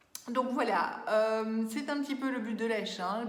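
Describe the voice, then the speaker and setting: Over noticeable background noise and audible room echo, a woman with a fairly high pitch speaks at a fairly slow pace. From Belgium. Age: 40s. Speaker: beauty vlogger. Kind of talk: casual vlog talk. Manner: hesitant, many fillers.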